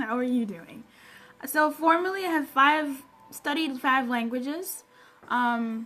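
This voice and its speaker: Using a raised, projected voice, a woman with a high pitch speaks at a fairly slow pace with ordinary pitch variation and long, frequent pauses. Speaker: personal development coach. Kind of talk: live stream Q&A chat. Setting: live stream broadcast with music. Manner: animated.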